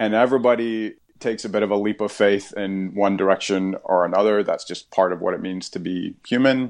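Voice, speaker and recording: Over a quiet background, a man in a normal speaking voice talks fairly quickly at a fairly low pitch, with fairly even intonation and hardly any pauses. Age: 40s. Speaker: pastor. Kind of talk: casual conversation.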